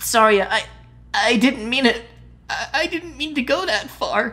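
A woman puts on a shaky, high-pitched character voice. Her delivery is fairly slow, with lively intonation. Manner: stammering, trembling.

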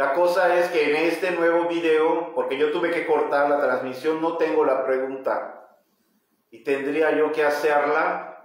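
Over a quiet background with audible room echo, a man speaks at a fairly slow pace, with a fairly high pitch and monotone, flat intonation. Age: 40s. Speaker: metaphysics teacher leading livestream study group. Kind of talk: livestream lecture with reading aloud and viewer comments; live stream talk, greeting viewers. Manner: halting, with frequent repetitions. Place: home room. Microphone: phone near.

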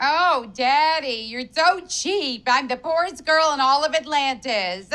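A female-sounding put-on character voice, high-pitched, at a fairly slow pace, in a very clean recording with a silent background. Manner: whiny, spoiled, playful.

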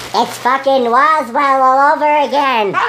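A female-sounding, high-pitched put-on character voice of a woman comes through over clear background noise. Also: moderate pace.

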